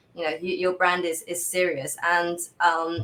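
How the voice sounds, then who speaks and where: A woman speaks with an English accent in a fairly low pitch. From England. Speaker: brand strategist. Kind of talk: interview.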